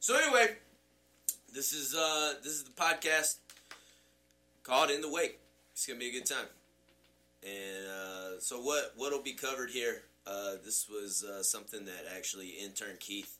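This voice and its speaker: Using lively intonation, a man at a medium pitch talks at a moderate pace with long, frequent pauses. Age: 30s. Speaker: student pastor. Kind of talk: casual chat. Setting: office. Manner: animated.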